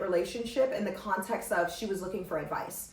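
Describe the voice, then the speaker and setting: A woman with an American accent, animated in tone at a fairly quick pace, with ordinary pitch variation, audible room echo and noticeable background noise. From US West Coast, Los Angeles. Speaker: podcast host. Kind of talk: casual storytelling podcast monologue.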